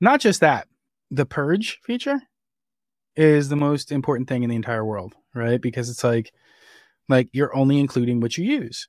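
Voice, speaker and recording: In a New Jersey accent, a man talks at a medium pitch and a moderate pace with ordinary pitch variation and long, frequent pauses. The recording is very clean, with a silent background and a dry, close sound with no echo. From New Jersey, Jersey Shore. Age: 30s. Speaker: software engineer. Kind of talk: casual chat.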